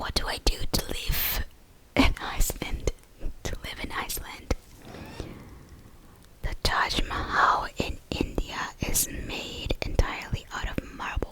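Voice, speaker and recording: A woman whispers at a very slow pace. Long, frequent pauses break her speech over noticeable background noise. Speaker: ASMR creator. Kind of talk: whispered ASMR fact ramble. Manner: whispered, soft-spoken.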